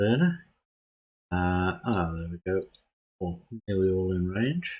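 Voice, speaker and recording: A man speaks quietly and very slowly, his very deep voice showing ordinary pitch variation. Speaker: gaming video creator. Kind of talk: tutorial. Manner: hesitant, many fillers.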